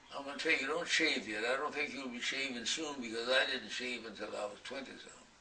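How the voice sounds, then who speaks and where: Against noticeable background noise, the speech moves at a very fast pace with fairly even intonation. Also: man, medium pitch for a man. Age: 80s+. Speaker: centenarian author. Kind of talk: interview storytelling. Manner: halting.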